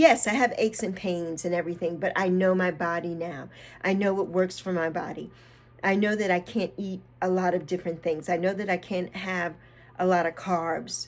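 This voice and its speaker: This woman talks at a moderate pace and a medium pitch, her intonation fairly even. Music plays in the background. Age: 60s. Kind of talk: casual talk to camera. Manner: mellow.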